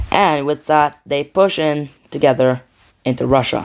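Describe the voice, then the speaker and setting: Against a quiet background, the speaker has a non-native accent and keeps a moderate pace. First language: not English. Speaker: mapping video creator. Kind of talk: casual commentary over map scenario. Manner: halting, with frequent self-corrections.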